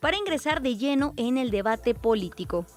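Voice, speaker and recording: A high-pitched woman's voice with very wide pitch swings, on a very clean recording with a silent background. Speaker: radio news host. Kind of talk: radio news presenting. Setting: radio studio.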